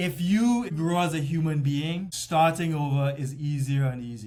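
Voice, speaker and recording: A man talks at a fairly high pitch with ordinary pitch variation, sounding somewhat breathy. Audible room echo is present. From Trinidad and Tobago. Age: 50s. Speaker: personal trainer and fitness coach. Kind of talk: interview conversation. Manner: halting, repeats words.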